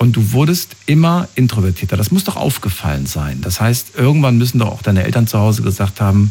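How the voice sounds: A man speaks at a fairly quick pace with a fairly low pitch, a dark, mellow tone with a slightly husky edge, and big swings in pitch.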